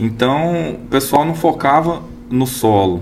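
A man's pitch makes very wide swings while noticeable background noise is heard. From Araporã, Minas Gerais (raised from age 8). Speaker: agronomist and seed company representative. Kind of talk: casual interview chat. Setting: studio.

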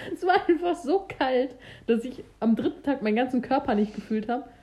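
Here a woman speaks at a moderate pace. Her tone is dark and mellow. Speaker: podcast co-host, student. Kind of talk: casual chat.

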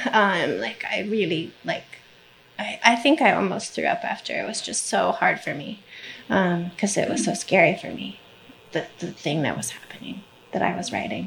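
A woman at medium pitch and moderate pace, with lively intonation, big swings in loudness, and noticeable background noise. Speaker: novelist. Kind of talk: live panel discussion. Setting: stage with audience.

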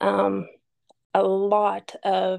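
The voice has a dark, mellow tone and an Appalachian accent. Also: woman. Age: 50s. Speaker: boutique owner. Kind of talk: interview storytelling.

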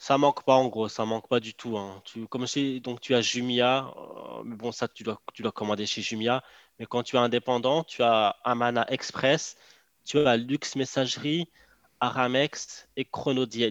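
Against a quiet background, a man speaks at a fairly slow pace in a medium pitch with fairly even intonation, the sound dry and close with no echo. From Morocco. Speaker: online entrepreneur. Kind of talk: casual interview chat. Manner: hesitant, with fillers and repetitions.

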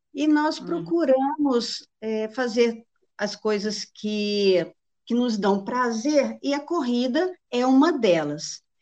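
Speaking very slowly, a woman with a fairly high pitch makes very wide swings up and down. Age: 50s. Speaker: traveler and amateur runner. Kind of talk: casual interview. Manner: talkative.

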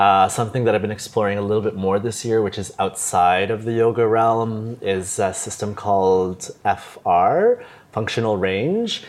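With a Canadian accent, a man uses an ordinary speaking voice, fairly low in pitch and fairly even in intonation. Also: moderate pace. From Canada, Toronto. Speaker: yoga teacher. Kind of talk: casual interview.

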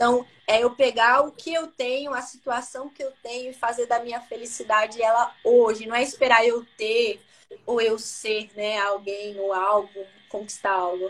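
Fairly slow and fairly even in intonation, a woman talks with a plain, everyday voice. Her pitch sits fairly high. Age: 30s. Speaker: credit and business manager. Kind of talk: interview.

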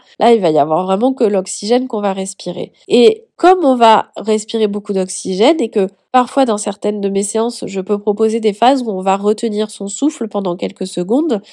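On a very clean recording with a silent background, a woman with a fairly high, dark, mellow voice talks at a moderate pace with ordinary pitch variation and hardly any pauses. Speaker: life coach and podcast host. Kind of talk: solo podcast monologue. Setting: at home on the couch.

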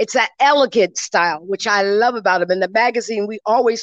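A woman talks in an ordinary speaking voice with an American accent. Her pitch is fairly high with ordinary variation, over a quiet background. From New York (Brooklyn). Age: 60s. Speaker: guest, Caribbean heritage organization leader. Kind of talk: interview. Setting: event at a public library.

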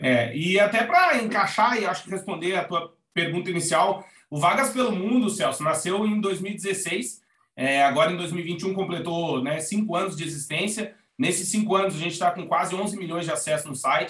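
A man speaks at a moderate pace in a high voice. His pitch varies in an ordinary way. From Brazil, Rio Grande do Sul (Alegrete). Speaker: advertising professional, emigration website co-founder. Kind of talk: casual interview.

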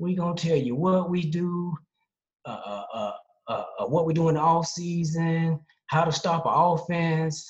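In an American accent, a man with a high pitch speaks at a fairly slow pace, his intonation fairly even. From Charlotte, North Carolina, US. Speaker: sprint and soccer coach. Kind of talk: casual interview chat.

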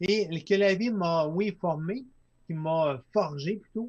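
A man speaks with ordinary pitch variation. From Quebec, Lac-Saint-Jean. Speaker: entrepreneur, company founder. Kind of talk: casual interview. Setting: studio, live streamed.

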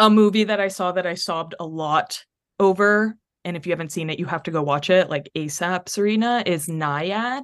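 A woman with an American accent talks at a moderate pace in a plain, everyday voice, pitched fairly low with ordinary pitch variation over a quiet background. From North Texas. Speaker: life coach. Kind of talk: casual chat.

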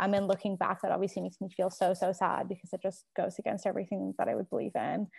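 A woman at a medium pitch speaks very fast with a Canadian accent and vocal fry, on a very clean recording with a silent background. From Canada. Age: 20s. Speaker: recent graduate student. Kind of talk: casual chat.

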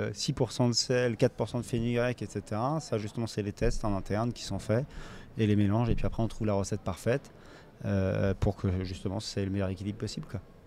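A man speaks at a fairly quick pace with a dark, mellow tone. His pitch sits fairly low, and his intonation stays fairly even. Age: 30s. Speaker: food company founder. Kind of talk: round-table discussion.

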